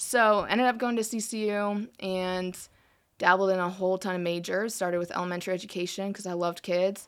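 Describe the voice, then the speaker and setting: A woman with an American accent has an ordinary speaking voice at medium pitch, with fairly even intonation. She talks at a fairly quick pace on a very clean recording with a silent background. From US Midwest, South Dakota. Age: 20s. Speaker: church intern. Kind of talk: casual interview. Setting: studio.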